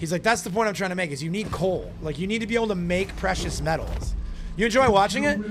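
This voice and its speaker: With music in the background, a loud, high-pitched man talks in an animated tone at a fairly quick pace. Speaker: gaming streamer. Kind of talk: live stream commentary while gaming.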